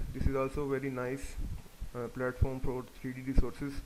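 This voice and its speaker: The speaker is a man. His pitch is fairly high. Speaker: 3D software instructor. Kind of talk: tutorial.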